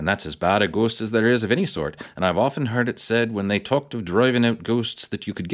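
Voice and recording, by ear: With intonation kept fairly even, a person is reading aloud in a natural voice.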